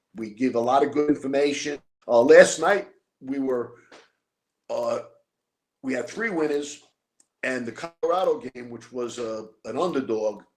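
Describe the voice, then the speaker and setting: A man with a fairly high pitch and ordinary pitch variation speaks at a moderate pace with long, frequent pauses. His loudness swings widely. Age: 60s. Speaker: former mob enforcer. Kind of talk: interview.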